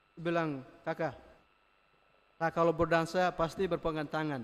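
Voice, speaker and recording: This man has a Flores accent and a high pitch. He talks at a moderate pace in a monotone, flat intonation. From Flores, eastern Indonesia. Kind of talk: homily. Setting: church.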